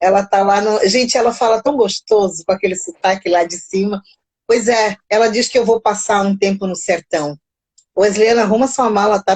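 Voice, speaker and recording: In a Brazilian accent, a woman speaks at a moderate pace and medium pitch with ordinary pitch variation. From Mozambique. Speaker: live stream host, psychology channel. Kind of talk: casual live chat. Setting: live stream. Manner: animated.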